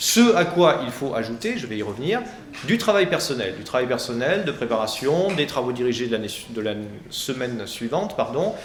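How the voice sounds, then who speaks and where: A man's lively intonation comes through audible room echo and noticeable background noise. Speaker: law professor. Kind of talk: presentation to high school students. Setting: lecture hall. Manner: fast; hesitant, many fillers.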